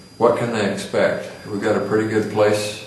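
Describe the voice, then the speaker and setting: A man's fairly low voice with audible room echo and noticeable background noise. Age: 60s. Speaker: interviewer. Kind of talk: oral history interview.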